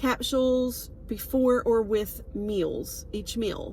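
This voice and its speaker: A woman speaks with a Southern US accent. Her voice is fairly high in pitch, with a dark, mellow tone. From US South. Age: 60s. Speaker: wellness product seller. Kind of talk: casual vlog monologue. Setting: on a road trip. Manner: hesitant, many fillers.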